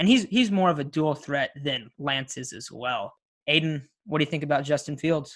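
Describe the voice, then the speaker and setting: On a very clean recording with a silent background, a man with an American accent speaks at a moderate pace with ordinary pitch variation and big swings in loudness. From Coachella Valley, Southern California. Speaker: podcast host, college student. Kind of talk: casual chat.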